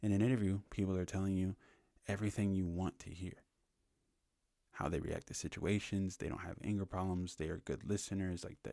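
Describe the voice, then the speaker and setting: A quiet, whispering man at a fairly quick pace. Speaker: business podcast host. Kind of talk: casual podcast monologue. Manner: quiet, near whisper; casual, filler-heavy.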